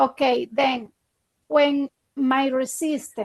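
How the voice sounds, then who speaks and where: The woman has a high pitch and a non-native accent, recorded with a dry, close sound and no echo. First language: not English. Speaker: trading student. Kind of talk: casual chat. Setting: video call. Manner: halting.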